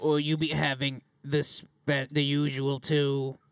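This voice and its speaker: A man puts on a character voice with a fairly high pitch. He talks at a very slow pace. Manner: gruff, curt.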